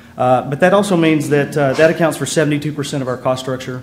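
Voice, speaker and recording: This man talks very fast with a Texas accent and fairly even intonation. There is audible echo from the room. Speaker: electric cooperative manager. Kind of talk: conference presentation. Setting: conference panel with audience. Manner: many filler words, hesitant.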